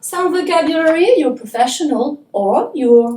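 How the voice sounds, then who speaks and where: A woman talks very slowly, her pitch swinging very widely. Her tone is dark and mellow. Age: 40s. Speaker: English teacher. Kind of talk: promotional self-introduction.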